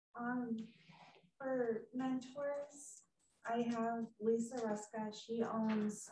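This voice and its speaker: At a very slow pace, a soft-spoken woman talks with a fairly high pitch and fairly even intonation. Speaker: salon business owner. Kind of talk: audience question.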